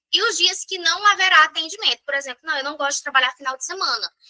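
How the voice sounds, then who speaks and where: The woman's voice is raised and projected, with a bright, sharp tone. She uses lively intonation. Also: dry, close sound with no echo. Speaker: sales trainer. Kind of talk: online training session. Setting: live stream with chat.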